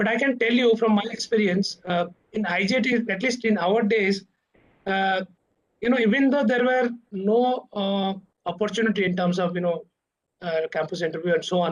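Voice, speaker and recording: A man in an Odisha accent, high-pitched, at a moderate pace with ordinary pitch variation. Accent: Odia. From India, Odisha. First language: Odia. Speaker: corporate director, alumnus speaker. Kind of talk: talk to students. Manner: halting, many fillers.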